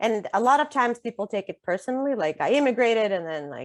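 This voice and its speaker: In a dry, close sound with no echo, a woman talks at a fairly quick pace with very wide pitch swings. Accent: Russian. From Russia. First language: Russian. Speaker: author. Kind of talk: interview conversation. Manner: frequent filler ums.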